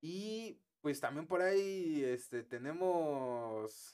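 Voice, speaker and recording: Man with a Mexican accent and very wide pitch swings. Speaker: tech podcast host. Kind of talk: casual chat.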